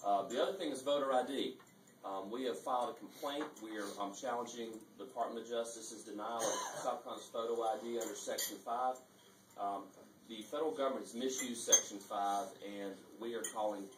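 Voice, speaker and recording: Fairly quick talk from a man, noticeable background noise behind it. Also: ordinary pitch variation. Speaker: speaker. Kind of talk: speech to an audience. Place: hall.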